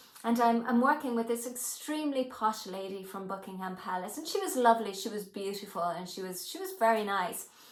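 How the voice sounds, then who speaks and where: A woman speaks at a fairly high pitch with lively intonation and hardly any pauses. Noticeable background noise and audible room echo fill the recording. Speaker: hypnotherapy trainer. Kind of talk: personal storytelling to camera.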